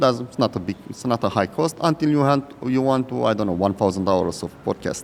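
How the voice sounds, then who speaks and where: With an Eastern European accent, a man talks at medium pitch and a fairly quick pace, using lively intonation. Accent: Eastern European accent, self-described. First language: Romanian. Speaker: podcast host and founder. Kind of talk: casual interview chat. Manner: halting.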